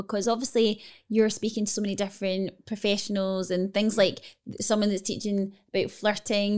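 A woman in a normal speaking voice, medium in pitch, with fairly even intonation and a moderate pace, on a very clean recording with a silent background. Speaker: co-host and author. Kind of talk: casual chat.

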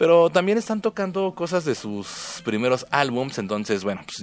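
Swinging very widely in pitch, the man talks at a moderate pace. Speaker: radio host. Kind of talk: casual radio show. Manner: subdued, listless delivery.

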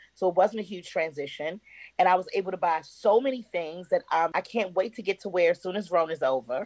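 A woman speaks at a fairly quick pace with medium pitch and ordinary pitch variation, her tone animated. The sound is dry and close with no echo. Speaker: actress. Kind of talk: casual chat.

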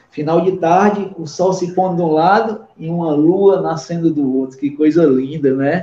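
A man speaks fairly slowly, his pitch high for a man with ordinary pitch variation. Noticeable background noise sits behind him. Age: 40s. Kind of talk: casual chat.

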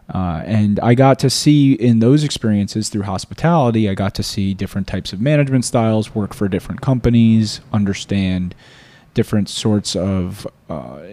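A man with an American accent speaks at a moderate pace in a dark, mellow tone. His pitch is fairly low, with ordinary pitch variation. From South Florida. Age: 30s. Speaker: podcast host and lawyer. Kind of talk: solo monologue introduction. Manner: hesitant, many fillers.

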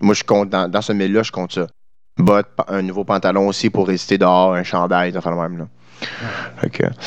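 The speech moves at a fairly quick pace in a monotone, flat intonation. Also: man, very deep, low pitch for a man. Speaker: podcast co-host, musician. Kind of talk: casual chat.

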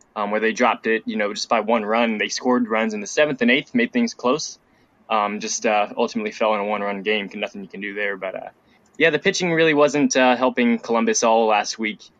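A man speaks very fast with a Midwestern American accent. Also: medium pitch for a man, ordinary pitch variation, dry, close sound with no echo. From Ohio, Dayton. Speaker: student sports reporter. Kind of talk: casual podcast chat.

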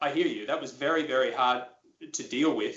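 An Australian accent shapes the speech. It belongs to a man. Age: 30s. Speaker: former pro golfer and broadcaster. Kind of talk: interview.

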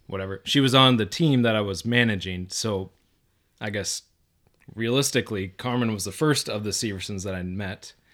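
A man at a moderate pace, fairly low in pitch with ordinary pitch variation, in a very clean recording with a silent background. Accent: Minnesota. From southern Minnesota, Mountain Lake. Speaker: engineer, podcast guest. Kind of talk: casual chat.

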